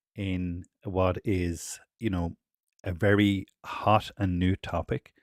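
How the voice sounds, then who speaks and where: A man with an Irish accent speaks in a very deep, low pitch with fairly even intonation. The recording is very clean with a silent background and a dry, close sound with no echo. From Ireland. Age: 40s. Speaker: developer advocate. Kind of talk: technical presentation.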